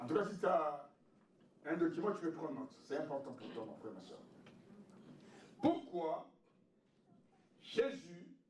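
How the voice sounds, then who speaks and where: A man's voice makes very wide pitch swings, with audible room echo around it. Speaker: pastor. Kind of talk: sermon.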